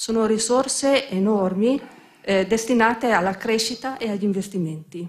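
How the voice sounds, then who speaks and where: A woman talks at a fairly high pitch. Her voice is somewhat breathy. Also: ordinary pitch variation, moderate pace. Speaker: bank president. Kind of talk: formal opening speech. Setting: stage with audience. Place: hall. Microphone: podium.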